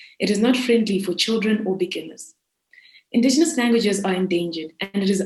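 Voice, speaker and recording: This woman talks at a very fast pace in a Zimbabwean accent. Her voice is somewhat breathy, with ordinary pitch variation. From South Africa (raised there from age seven, born in Zimbabwe). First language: Shona. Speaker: student entrepreneur. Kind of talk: pitch presentation. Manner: formal.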